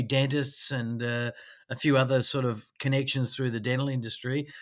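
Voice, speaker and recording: A man with an Australian accent speaks at a moderate pace in a bright, sharp tone, his pitch fairly high for a man, over a quiet background. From Australia, Sydney. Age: 60s. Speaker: dental technician. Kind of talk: interview.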